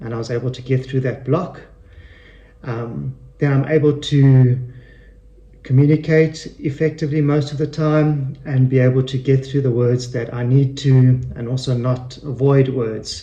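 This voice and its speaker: This voice has a dark, mellow, somewhat breathy tone and moves at a moderate pace with monotone, flat intonation. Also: man, medium pitch for a man. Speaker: person who stutters. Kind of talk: radio interview answer. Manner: stutters.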